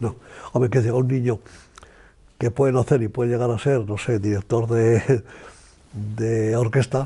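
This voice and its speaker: Somewhat breathy and dark, mellow in tone, a man speaks in a monotone, flat intonation at a fairly slow pace, with long, frequent pauses. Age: 80s+. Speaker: economist and author. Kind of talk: interview answer. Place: home room.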